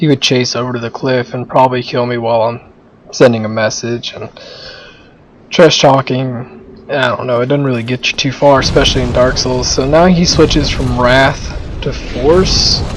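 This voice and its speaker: Noticeable background noise sits behind a man at medium pitch. He talks at a moderate pace with fairly even intonation. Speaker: gamer doing commentary. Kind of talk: gameplay commentary. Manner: casual.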